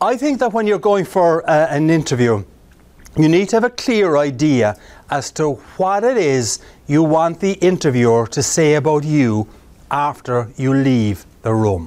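A man with an Irish accent, fairly high in pitch, at a fairly slow pace with very wide pitch swings. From Ireland. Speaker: keynote speaker. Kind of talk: live presentation to a job club. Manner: humorous. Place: meeting room.

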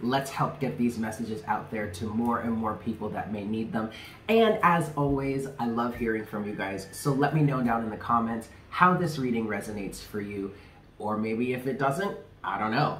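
A man speaks at a moderate pace with ordinary pitch variation. Light background noise and audible room echo are present. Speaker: tarot reader, channel host. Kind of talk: casual vlog chat.

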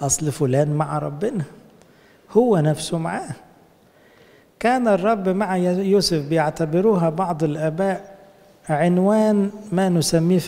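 Speaking at a fairly slow pace with ordinary pitch variation, a man leaves long, frequent pauses. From Egypt. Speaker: priest. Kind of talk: sermon. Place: church. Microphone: handheld.

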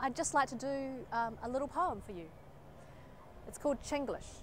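In a New Zealand accent, a woman talks at a fairly quick pace with a high pitch, ordinary pitch variation, a dry sound with no echo and light background noise. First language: Chinese. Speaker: poet. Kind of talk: poetry performance; spoken word poetry performance. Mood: wry, expressive. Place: street. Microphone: lapel.

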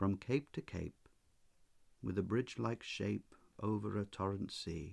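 This man's voice is very deep and low, with a gentle tone. He is soft-spoken and his intonation stays fairly even. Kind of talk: poetry reading. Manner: soft-spoken, gentle.

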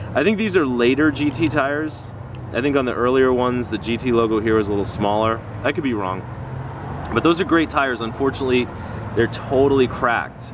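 The speech moves at a fairly quick pace with ordinary pitch variation. The sound is dry with no echo, though there is noticeable background noise. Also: man. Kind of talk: casual show-and-tell commentary. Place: street. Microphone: phone near.

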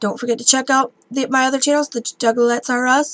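A woman's high-pitched voice at a fairly quick pace, with monotone, flat intonation. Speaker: vlogger. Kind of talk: casual vlog chat. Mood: warm, chatty. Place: home room. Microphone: webcam.

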